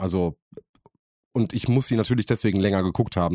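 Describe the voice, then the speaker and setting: Speech comes at a very fast pace with ordinary pitch variation, against a quiet background with a dry, close sound and no echo. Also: man. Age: 30s. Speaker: podcast co-host. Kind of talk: casual chat.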